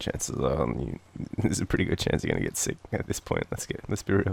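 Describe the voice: In an Australian accent, a man talks at a fairly quick pace in an extremely low, slightly mellow voice with a slightly husky edge, vocal fry and very wide pitch swings.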